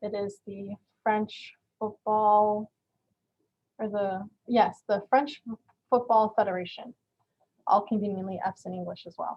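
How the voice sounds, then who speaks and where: A woman's fairly high voice at a fairly slow pace, with fairly even intonation and big swings in loudness. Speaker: community college event host presenting on French culture. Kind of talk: informal presentation. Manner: casual, filler-heavy.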